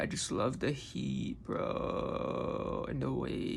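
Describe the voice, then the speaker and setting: A woman speaks with a Californian accent, and audible room echo is heard. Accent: Californian vocal fry. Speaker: video creator and artist. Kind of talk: casual vlog chat.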